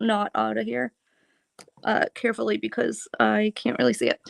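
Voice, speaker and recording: Over a quiet background, a woman with an American accent speaks at a moderate pace, the sound dry and close with no echo. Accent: Boston accent, stronger than usual now. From Boston area, US. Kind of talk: live craft tutorial chat. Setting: live stream.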